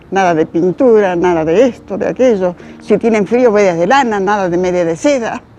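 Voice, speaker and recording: A woman's medium-pitched voice at a moderate pace, ordinary pitch variation, and noticeable background noise. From Spain, Galicia (Pontevedra), moved to Argentina at seven. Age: 80s+. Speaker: elderly interviewee recalling school days. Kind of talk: interview testimony.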